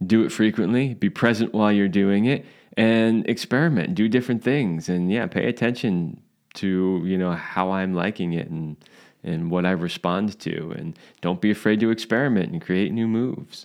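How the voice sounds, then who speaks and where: A man with a plain, everyday voice speaks at a moderate pace, with a fairly low pitch and ordinary pitch variation against a quiet background. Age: 50s. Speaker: sex and relationship podcast co-host. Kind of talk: casual chat.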